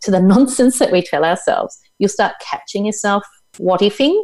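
With an Australian accent, a woman at a medium pitch speaks at a moderate pace with very wide pitch swings. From Tasmania, Australia. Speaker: psychologist and mentor. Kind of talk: casual interview chat.

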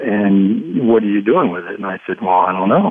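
With an American accent, a man talks at a moderate pace in a fairly low pitch. He has an unremarkable speaking voice. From Ohio, US Midwest. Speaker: economist and author. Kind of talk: radio interview. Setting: studio.

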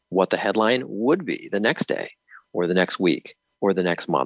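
A man with an American accent speaks in a normal speaking voice at a moderate pace and fairly low pitch with ordinary pitch variation. The sound is dry and close with no echo. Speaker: state elections official. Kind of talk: interview.

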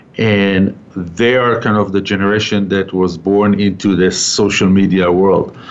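A man with a fairly low pitch talks in a flat monotone at a fairly slow pace, with hardly any pauses. Noticeable background noise runs through the recording. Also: very even loudness. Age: old. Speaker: radio host; real estate business owner. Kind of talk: radio interview. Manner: halting, many fillers.

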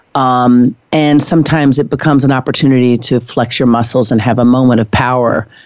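Fairly quick American-accented speech with hardly any pauses. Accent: Southern US when talking about money. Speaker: real estate broker. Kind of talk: panel discussion.

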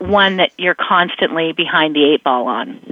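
A woman speaks with a plain, everyday voice at a moderate pace. Her intonation is lively. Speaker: brain expert. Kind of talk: radio interview.

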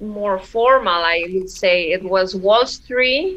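With a Spanish accent, a woman talks at a medium pitch. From Mexico, Oaxaca. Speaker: classical guitarist. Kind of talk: interview. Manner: hesitant, frequent laughter.

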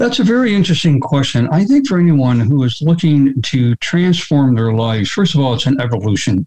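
A man with a fairly high pitch speaks at a fairly quick clip, somewhat breathy, with very wide pitch swings, very even loudness and hardly any pauses. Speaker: health activist and author. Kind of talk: interview conversation. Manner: careful with certain words.

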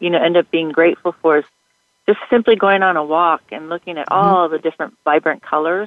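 Her words come out very quickly. This woman's voice sits fairly low. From Japan, military family. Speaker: life coach and author. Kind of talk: casual interview. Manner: hesitant, many fillers.

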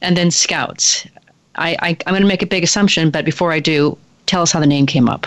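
A woman with an unremarkable speaking voice talks at a fairly quick pace, her fairly low pitch showing ordinary variation. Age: 50s. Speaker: radio host and leadership consultant. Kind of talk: radio interview. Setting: radio studio.

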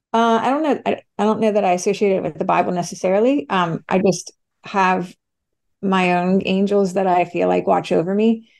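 A woman talks at a moderate pace at medium pitch, with ordinary pitch variation. She has a plain, everyday voice. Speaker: beverage founder. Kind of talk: interview. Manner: candid, chatty.

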